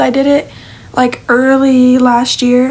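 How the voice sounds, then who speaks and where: Noticeable background noise and a woman's voice pitched high. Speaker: digital artist talking about original characters. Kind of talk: casual monologue. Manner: hesitant with fillers and restarts.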